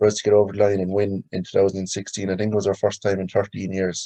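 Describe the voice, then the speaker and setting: A man's dark, mellow voice holds a monotone, flat intonation, recorded with a dry, close sound and no echo. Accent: Limerick. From Ireland, County Limerick. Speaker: hurler. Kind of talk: interview.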